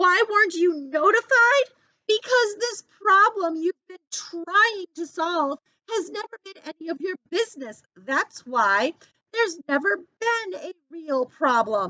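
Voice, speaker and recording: A woman puts on a shrill character voice with an extremely high pitch and very wide pitch swings. She speaks at a fairly slow pace with big swings in loudness. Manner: attacking, confrontational.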